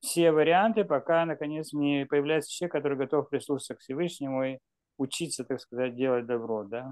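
A man talks fairly quickly in a normal speaking voice, his fairly high pitch showing ordinary pitch variation. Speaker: audience member asking questions. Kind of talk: online Q&A. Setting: video call.

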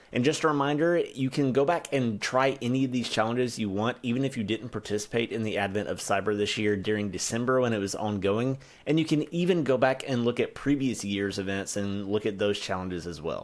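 The speaker is a man talking at a fairly quick pace. His pitch varies in an ordinary way. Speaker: tech content creator. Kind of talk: tutorial. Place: home room.

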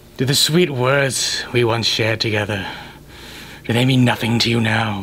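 Against clear background noise, a man with a medium pitch keeps his loudness very even. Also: moderate pace. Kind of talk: mock-Shakespearean comic overacting. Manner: pompous, indignant, declamatory.

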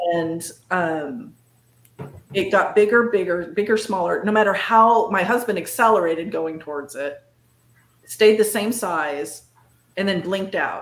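This woman speaks at a fairly slow pace with ordinary pitch variation. Audible echo from the room surrounds her voice. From northern California. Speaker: cryptid and paranormal researcher; guest. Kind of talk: casual interview chat. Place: home room.

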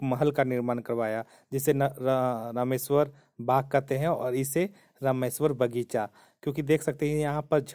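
Against a quiet background, a man talks at a fairly slow pace. His tone is dark and mellow, his intonation monotone and flat. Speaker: travel vlogger. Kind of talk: casual vlog commentary. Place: open country. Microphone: phone near.

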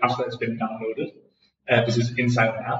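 The voice is somewhat breathy and moves at a fairly quick pace with monotone, flat intonation. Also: man. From Denmark. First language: Danish. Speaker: music streaming startup founder. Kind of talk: interview. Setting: echoey room in a co-working space. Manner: hesitant with fillers and repetitions.

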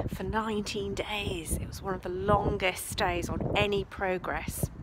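A woman is speaking. Loud background noise is heard behind her. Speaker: history travel blogger. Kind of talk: casual vlog tour commentary. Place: open country. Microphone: phone near.

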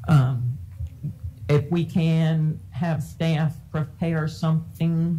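A woman with a very deep, low pitch and a dark, mellow tone speaks very slowly, somewhat breathy, with ordinary pitch variation. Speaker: school board chair. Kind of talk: public meeting. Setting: public meeting room with audience. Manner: formal. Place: meeting room. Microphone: podium.

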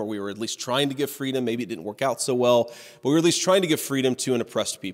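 A man with an American accent speaks with ordinary pitch variation over a quiet background. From Ohio. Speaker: author and political candidate. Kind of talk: conference keynote speech. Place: hall. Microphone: podium.

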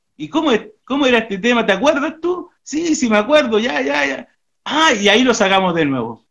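A man at a moderate pace, pitch swinging very widely, against a quiet background. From Santiago, Chile. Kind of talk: interview. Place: home room.

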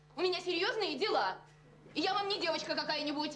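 Woman speaking at a fairly quick pace, crowd noise behind her. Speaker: sitcom actress. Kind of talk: acted dialogue, emotional monologue. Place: office.

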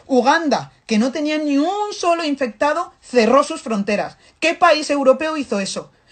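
Over a quiet background, a woman speaks at a high pitch and a moderate pace. Her tone is animated and her intonation lively. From Africa. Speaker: activist commentator. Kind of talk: impassioned monologue. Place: home room. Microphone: phone near.

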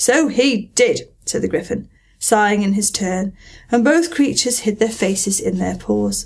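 A woman with a fairly high pitch and vocal fry speaks at a fairly slow pace in an animated, calm tone against a quiet background. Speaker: audiobook narrator. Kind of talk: literary audiobook reading, Victorian children's classic read aloud with character voices. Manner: calm, warm, storytelling pace; animated, switching voices for characters. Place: home room.

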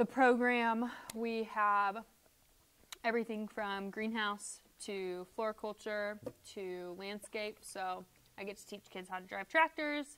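A woman with an American accent talks at a fairly slow pace, pausing long and often. Her pitch is fairly high with ordinary variation, while her loudness swings widely. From US Midwest. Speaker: horticulture teacher. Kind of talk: casual interview. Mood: relaxed, chatty. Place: studio. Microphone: lapel.

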